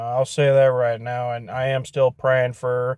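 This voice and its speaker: A man with a Michigan accent talks in a monotone, flat intonation, with a dry, close sound and no echo. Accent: Midwestern US (Michigan). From Michigan (Portage area). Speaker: YouTuber vlogger. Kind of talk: casual vlog monologue. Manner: slow.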